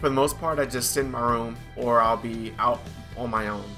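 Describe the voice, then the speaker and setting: A man speaks with music in the background. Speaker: Air Force service member. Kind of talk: casual talk to camera.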